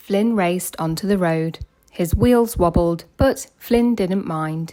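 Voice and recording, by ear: A woman's fairly low, dark, mellow voice at a slow pace with ordinary pitch variation.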